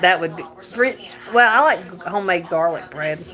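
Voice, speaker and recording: A woman with a Southern US accent and fairly low pitch talks at a fairly quick pace with ordinary pitch variation over noticeable background noise. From North Carolina, US South. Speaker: livestreamer. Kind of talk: casual live-stream chat while cooking. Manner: halting.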